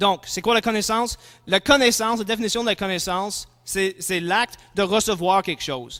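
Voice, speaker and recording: A man talks at a moderate pace with ordinary pitch variation. His tone is bright and sharp. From English-speaking. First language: English (speaking French). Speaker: philosophy and theology lecturer. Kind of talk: lecture. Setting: conference talk before audience. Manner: halting, with fillers and restarts.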